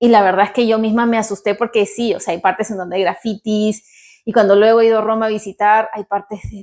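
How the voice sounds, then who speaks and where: In a very clean recording with a silent background, a woman with a fairly high voice speaks at a fairly quick pace in a Peruvian accent. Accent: Peruvian Spanish accent, kept. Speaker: vlogger. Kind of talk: vlog talk to camera. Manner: animated.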